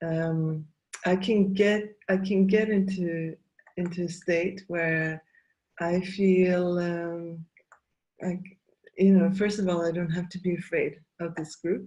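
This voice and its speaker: A woman's dark, mellow, somewhat breathy voice at a fairly low pitch, in a monotone, flat intonation at a very slow pace with long, frequent pauses. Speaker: facilitator and trainer. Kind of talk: interview conversation. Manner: halting, many fillers.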